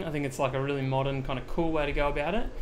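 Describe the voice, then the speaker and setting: A man speaks with an Australian accent and ordinary pitch variation. There is audible room echo. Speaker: video editing streamer. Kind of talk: live-streamed tutorial. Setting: live stream. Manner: casual, filler-heavy.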